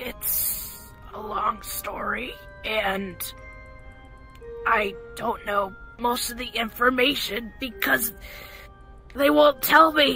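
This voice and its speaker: A man uses a raspy put-on character voice at an extremely high pitch. He speaks at a very slow pace over clear music in the background. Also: big swings in loudness. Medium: audio drama. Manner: anxious, tearful, defensive.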